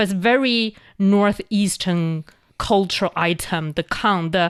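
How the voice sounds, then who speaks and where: Speaking at a fairly slow pace, a woman talks in a Chinese accent. The background is quiet. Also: medium pitch for a woman, ordinary pitch variation. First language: Mandarin Chinese. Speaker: language show host. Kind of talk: educational casual chat. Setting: studio.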